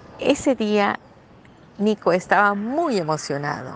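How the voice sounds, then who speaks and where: A woman speaks very slowly at a medium pitch. Her pitch swings very widely. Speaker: grandmother. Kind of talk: reading aloud.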